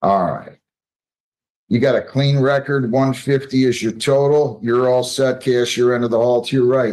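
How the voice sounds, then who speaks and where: The man speaks at medium pitch and a moderate pace. His intonation is monotone and flat. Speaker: judge. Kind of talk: court proceedings. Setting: courtroom. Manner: loud; brisk.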